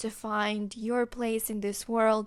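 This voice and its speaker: A woman with a Moldovan accent talks at a fairly high pitch on a very clean recording with a silent background. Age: 20s. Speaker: podcast host. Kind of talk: podcast monologue. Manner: hesitant, many fillers.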